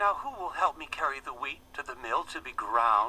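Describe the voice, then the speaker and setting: A put-on character voice comes through at a middle pitch. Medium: read story. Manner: earnest, hopeful.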